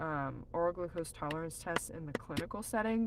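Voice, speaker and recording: With an American accent, a woman speaks in a normal speaking voice at a fairly low pitch and a fairly slow pace, her pitch varying in an ordinary way. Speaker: nutritionist. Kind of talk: live stream Q&A. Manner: casual, filler-heavy.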